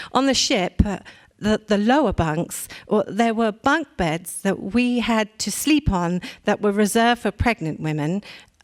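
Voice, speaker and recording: A woman with an English accent, medium in pitch and lively in intonation, at a fairly slow pace, in a dry, close sound with no echo. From England. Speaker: war bride; reader of an oral history. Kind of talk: dramatic reading of an oral history.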